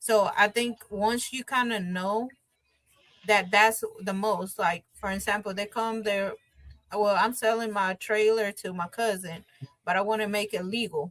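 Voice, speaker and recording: The delivery moves at a fairly slow pace with fairly even intonation. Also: woman, medium pitch for a woman. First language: Spanish. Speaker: bilingual notary and bank worker. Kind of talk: interview. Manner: casual, with filler words.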